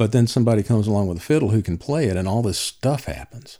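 In a North Carolina accent, a man speaks with a dark, mellow tone on a very clean recording with a silent background. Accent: Southern US (North Carolina). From US South, Alamance County, North Carolina. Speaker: old-time fiddler. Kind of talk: interview. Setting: at home. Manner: halting, many fillers.

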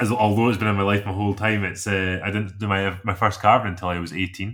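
With a Scottish accent, a man speaks at a fairly low pitch. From south of Scotland. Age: 20s. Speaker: chainsaw carver. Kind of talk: casual interview. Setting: remote call.

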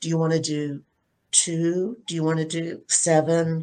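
With an American accent, a woman is talking. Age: 70s. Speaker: panellist. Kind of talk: panel discussion. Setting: video call.

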